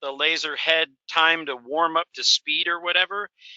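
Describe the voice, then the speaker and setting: His intonation fairly even, a man speaks at a high pitch. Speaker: truck driver, webinar participant. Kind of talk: casual Q&A on video call. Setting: video call from inside his truck. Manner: halting, many fillers.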